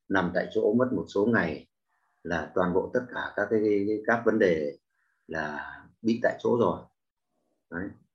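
A man speaks at a very slow pace with long, frequent pauses. His pitch is fairly low, with ordinary variation. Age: 60s. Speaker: class participant. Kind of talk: testimony. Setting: online video call class.

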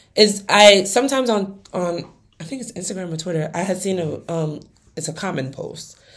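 Woman in an American accent at medium pitch and moderate pace, ordinary pitch variation, big swings in loudness and audible room echo. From US, Nigerian family. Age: 20s. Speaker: podcast co-host. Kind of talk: casual chat.

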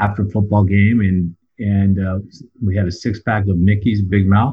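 With an American accent, a man speaks in a somewhat breathy, fairly low-pitched voice. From southern California. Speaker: recovering addict sharing story. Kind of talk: testimony. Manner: halting, many fillers and repeats.

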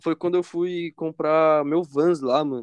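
Speaking fairly slowly in a normal speaking voice, a man uses a fairly high pitch with ordinary pitch variation. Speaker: podcast co-host. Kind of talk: casual chat.

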